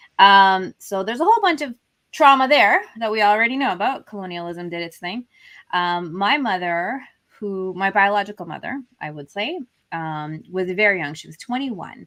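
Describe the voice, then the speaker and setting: A woman with a Canadian accent speaks in an ordinary speaking voice at a medium pitch and a moderate pace. Her loudness swings widely. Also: lively intonation. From Canada (Alberta), born in Fiji. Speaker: confidence coach. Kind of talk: interview testimony. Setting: online show video call.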